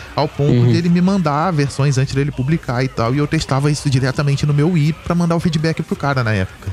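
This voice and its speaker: Over noticeable background noise, a man with a fairly high voice talks at a very fast pace with hardly any pauses. His loudness stays very even throughout. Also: ordinary pitch variation. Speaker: podcast co-host. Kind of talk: casual chat. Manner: talkative.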